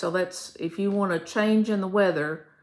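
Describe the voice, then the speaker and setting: Her Kentucky accent comes through as this woman speaks at medium pitch with fairly even intonation. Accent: southern US, Kentucky. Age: 70s. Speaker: retired teacher, vlogger. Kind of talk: casual chat. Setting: home video, seated. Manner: hesitant with fillers.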